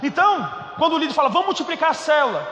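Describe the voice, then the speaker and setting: A raised, projected voice with a Goiás accent comes at a fairly quick pace in an animated tone. Room echo is audible and background noise noticeable. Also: man. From Goiás, Brazil. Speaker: pastor. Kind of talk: sermon. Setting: church.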